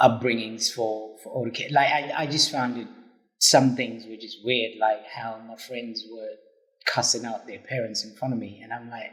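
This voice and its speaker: A man speaks with a Zimbabwean accent at a moderate pace. His intonation is flat and monotone. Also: medium pitch for a man. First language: Shona. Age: young. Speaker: interviewee, immigrant. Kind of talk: casual interview.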